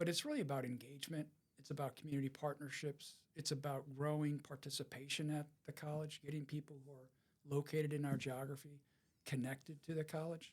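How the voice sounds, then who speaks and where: Somewhat breathy, a man talks at a fairly quick pace with monotone, flat intonation. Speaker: nonprofit foundation director. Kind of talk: podcast interview.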